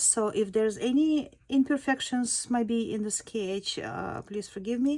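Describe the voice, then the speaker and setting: In a very clean recording with a silent background, a woman with a non-native accent speaks very slowly at a fairly high pitch with ordinary pitch variation. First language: not English. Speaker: sketch artist, art tutor. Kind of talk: tutorial demo. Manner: halting, many fillers.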